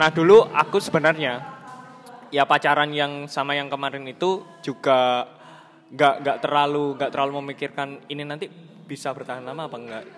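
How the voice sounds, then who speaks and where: A man with an unremarkable speaking voice talks at a fairly quick pace in a fairly high pitch. His intonation is fairly even, but his loudness swings widely. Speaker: podcast host. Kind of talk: casual chat.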